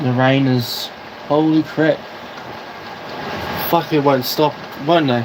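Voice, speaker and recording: Over noticeable background noise, a man with a fairly high pitch speaks at a very slow pace, with long, frequent pauses, very even loudness and monotone, flat intonation. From New Zealand. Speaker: livestreamer. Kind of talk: casual live stream commentary.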